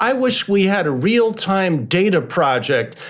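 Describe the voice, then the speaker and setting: Speaking with an American accent, a man goes at a fairly slow pace with lively intonation. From Chicago. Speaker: journalist and author. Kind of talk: interview.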